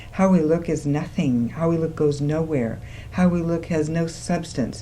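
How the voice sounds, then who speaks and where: A woman's very deep, low voice with a dark, mellow tone at a moderate pace, plus audible room echo. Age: 60s. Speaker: women's school co-founder. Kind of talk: studio talk show discussion. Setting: TV studio, live. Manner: animated.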